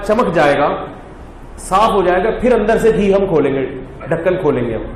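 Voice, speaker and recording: This man's voice sits at a high pitch. Noticeable background noise runs behind him. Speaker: Islamic scholar and preacher. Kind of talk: funny story told in a religious talk.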